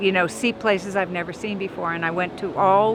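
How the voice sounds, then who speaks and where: A woman with a medium pitch and ordinary pitch variation talks at a moderate pace while noticeable background noise carries on. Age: 60s. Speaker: passerby interviewee. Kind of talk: street interview.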